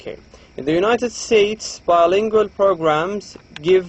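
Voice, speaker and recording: A man with an Arabic accent. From Saudi Arabia. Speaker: lecturer. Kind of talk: lecture.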